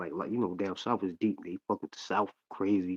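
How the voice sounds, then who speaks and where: The speaker talks at a very fast pace in a strong New York accent. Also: man. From Long Island, New York (Hempstead). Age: 40s. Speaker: rapper and actor. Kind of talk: casual chat. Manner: animated.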